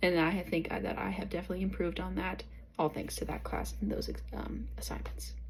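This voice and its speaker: Audible room echo colors the recording. A woman is talking at a fairly quick pace. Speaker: college student. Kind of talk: class video reflection. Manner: hesitant, uses filler words.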